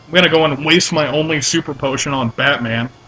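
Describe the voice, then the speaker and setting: Fairly high-pitched male voice with fairly even intonation over noticeable background noise. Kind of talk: casual let's play commentary.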